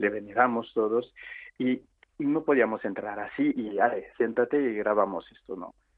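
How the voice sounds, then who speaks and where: A man talks at a moderate pace in a medium pitch with ordinary pitch variation. He has an unremarkable speaking voice. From Réunion (French island). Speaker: photographer. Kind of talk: radio interview.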